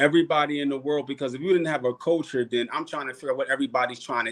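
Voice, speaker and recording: Talking very fast with hardly any pauses, a man uses a fairly high pitch and ordinary pitch variation. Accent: Philadelphia. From Philadelphia, US. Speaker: podcast guest, cultural activist. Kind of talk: casual chat. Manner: animated.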